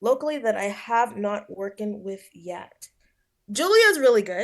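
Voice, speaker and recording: A woman's plain, everyday voice, fairly high in pitch with ordinary pitch variation, fairly slow, with big swings in loudness. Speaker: hip hop musician. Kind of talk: interview.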